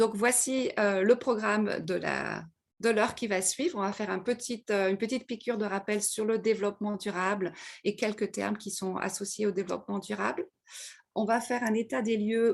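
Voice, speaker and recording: In a Parisian accent, a woman speaks at medium pitch with vocal fry. Her pace is moderate and her intonation fairly even. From France, Paris. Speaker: webinar presenter on corporate social responsibility. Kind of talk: lecture. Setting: video call. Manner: hesitant, many fillers.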